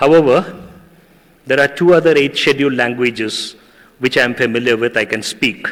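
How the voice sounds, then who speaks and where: A man with a Tamil accent speaks at a moderate pace, his pitch fairly high and his pitch variation ordinary. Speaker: journalist and university teacher. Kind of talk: ceremonial speech.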